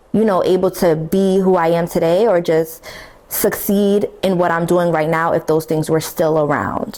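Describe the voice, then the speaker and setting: Over noticeable background noise, a woman speaks fairly slowly at a fairly low pitch with fairly even intonation. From Brooklyn, New York, US. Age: 20s. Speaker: podcast host. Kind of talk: personal testimony podcast. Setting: beauty school influencer room. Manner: casual, conversational.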